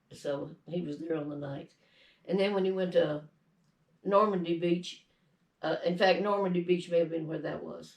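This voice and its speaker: Her fairly low voice shows vocal fry as the woman keeps a fairly even intonation. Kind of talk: family story telling, interview answer.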